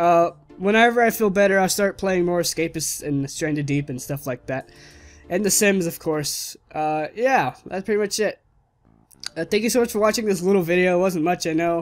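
Faint music sits behind a man with a high voice. He talks at a moderate pace with ordinary pitch variation. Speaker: gaming video creator. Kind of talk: casual gameplay commentary and outro. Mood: low energy, apologetic.

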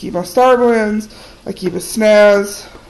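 Against noticeable background noise, a woman speaks at a fairly slow pace. Her pitch is medium and her intonation fairly even. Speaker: face painter and video creator. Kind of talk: tutorial. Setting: home video recording. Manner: casual with frequent fillers.

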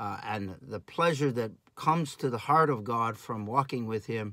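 The voice has a bright, sharp tone and ordinary pitch variation, moving at a fairly slow pace in a dry sound with no echo over a quiet background. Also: man. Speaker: pastor or Bible teacher. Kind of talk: sermon. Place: home room. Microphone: phone near.

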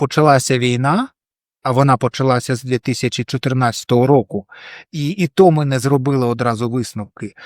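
A man with a plain, everyday voice talks at a moderate pace with medium pitch and ordinary pitch variation, recorded very cleanly against a silent background with a dry, close sound and no echo. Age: 40s. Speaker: blogger and journalist. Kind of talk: casual to-camera vlog.

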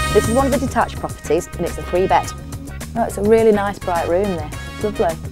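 Woman at a very fast pace with music in the background. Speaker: TV presenter. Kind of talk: TV property show presenting.

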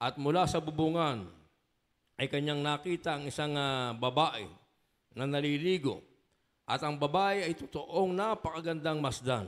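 In a normal speaking voice, a man talks at a fairly slow pace and fairly high pitch, with ordinary pitch variation and a quiet background. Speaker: scripture reader. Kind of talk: reading aloud. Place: church. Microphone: handheld.

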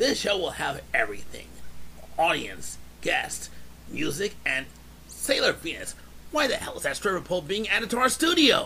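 A raspy, put-on character voice speaks at a moderate pace. Clear background noise runs beneath it. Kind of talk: parody promo host read.

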